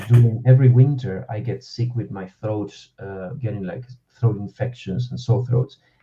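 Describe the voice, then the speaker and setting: Speaking in an Argentinian accent, a man has a dark, mellow, somewhat breathy voice with ordinary pitch variation. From Argentina. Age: 30s. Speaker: actor and voice-over artist. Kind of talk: casual chat. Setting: live podcast stream.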